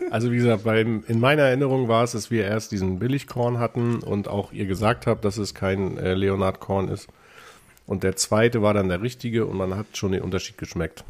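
This man has a fairly low pitch and fairly even intonation, talking at a moderate pace. It is an unremarkable speaking voice. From northern Germany, Lower Saxony. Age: 40s. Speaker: self-employed salesperson. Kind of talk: casual chat. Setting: studio.

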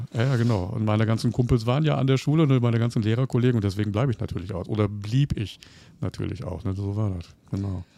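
Speaking very fast, a man uses a fairly low pitch and a dark, mellow tone. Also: ordinary pitch variation. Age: 50s. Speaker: teacher. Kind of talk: casual interview.

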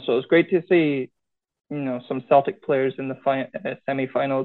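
A man's fairly high voice with a Scottish Highland accent. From Scottish Highlands. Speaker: schoolteacher and card show organiser. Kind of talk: casual chat.

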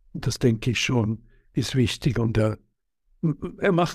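Speech comes at a fairly slow pace. There's a somewhat breathy quality to it. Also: man. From Switzerland. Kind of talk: interview. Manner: halting, many hesitations.

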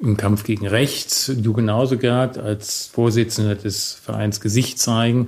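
A man speaks at a fairly slow pace in a medium pitch. His intonation is fairly even and his voice somewhat breathy. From Germany, Bonn. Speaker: podcast host. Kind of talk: interview.

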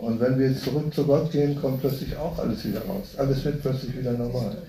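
Moderate in pace with ordinary pitch variation. It is an unremarkable speaking voice. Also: man. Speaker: audience member asking questions. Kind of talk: casual question and comment.

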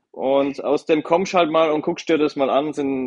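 A man with an unremarkable speaking voice at a moderate pace. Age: 30s. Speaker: car dealership managing director. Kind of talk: podcast interview.

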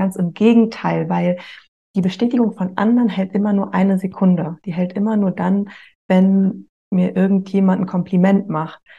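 Somewhat breathy and dark, mellow in tone, a woman's medium-pitched voice moves at a moderate pace. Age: 30s. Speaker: author of a breakup journal. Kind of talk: interview.

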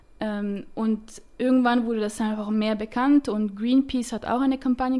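A woman's dark, mellow voice, fairly high-pitched, with monotone, flat intonation at a moderate pace. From French-speaking Switzerland. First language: French (speaking German). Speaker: startup founder, chemical engineer. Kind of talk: interview. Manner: hesitant, many fillers.

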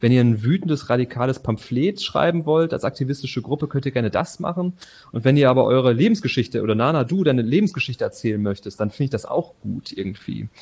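A somewhat breathy, medium-pitched man at a very fast pace with lively intonation. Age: 30s. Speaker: theatre and opera director. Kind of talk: interview.

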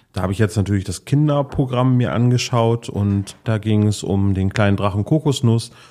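A man talks at a moderate pace with ordinary pitch variation and fairly low pitch. His tone is dark and mellow, on a very clean recording with a silent background. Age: 40s. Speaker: podcast host. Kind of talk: casual chat. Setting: on location in a harbour.

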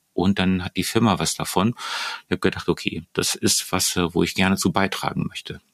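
In a dry, close recording with no echo, a man talks in a very deep, low voice with monotone, flat intonation. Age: 50s. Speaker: neurobiologist and leadership trainer. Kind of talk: interview. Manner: halting, many fillers.

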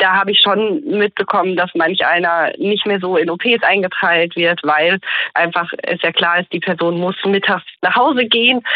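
A woman uses a normal speaking voice at medium pitch, with ordinary pitch variation and a moderate pace. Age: 30s. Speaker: junior doctor in general practice training. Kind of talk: interview.

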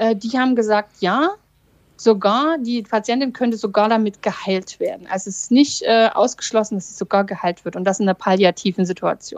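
A woman with an ordinary speaking voice, fairly high pitch and ordinary pitch variation, at a moderate pace, in a dry, close sound with no echo. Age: 40s. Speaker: lawyer and breast cancer survivor. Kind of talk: casual chat.

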